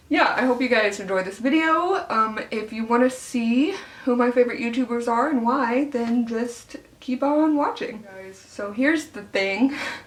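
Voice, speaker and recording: A woman speaks at a moderate pace with a high pitch and ordinary pitch variation. Her loudness swings a lot, and background noise is noticeable. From Arkansas, US South. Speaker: beauty YouTuber. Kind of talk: casual get-ready-with-me vlog. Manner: chatty with frequent fillers.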